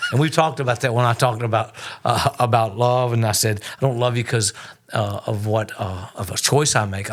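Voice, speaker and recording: Over noticeable background noise, a man at medium pitch speaks at a fairly quick pace. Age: 60s. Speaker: pastor. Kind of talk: podcast conversation.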